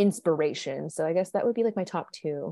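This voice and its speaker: In an ordinary speaking voice, a woman with a fairly low pitch talks at a moderate pace with ordinary pitch variation, the sound dry and close with no echo. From immigrated to the US as a child. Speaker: army veteran and podcaster. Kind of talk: interview conversation.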